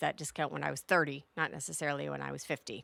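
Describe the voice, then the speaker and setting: A woman talks very fast in a bright, sharp tone with vocal fry. The recording is very clean, with a silent background and a dry, close sound with no echo. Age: 50s. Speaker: podcast host. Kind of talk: solo podcast monologue. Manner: animated.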